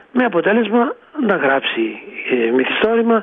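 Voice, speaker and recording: Over noticeable background noise, a man speaks with very wide pitch swings. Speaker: professor, poet and writer. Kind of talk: radio interview.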